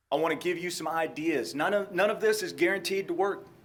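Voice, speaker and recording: Amid audible room echo, a man with a high pitch and a slight Texan accent speaks with fairly even intonation. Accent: slight Texan drawl. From Texas. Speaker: police trainer. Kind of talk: lecture.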